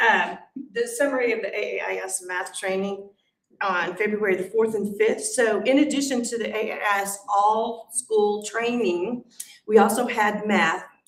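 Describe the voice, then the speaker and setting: Talking at a moderate pace with fairly even intonation, a woman with a fairly high pitch is heard against audible room echo. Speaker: school principal. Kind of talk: meeting report. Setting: school board meeting.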